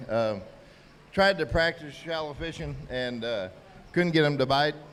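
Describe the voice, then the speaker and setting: A man uses a normal speaking voice, moving at a moderate pace with ordinary pitch variation. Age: 60s. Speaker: tournament angler. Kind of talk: post-tournament interview.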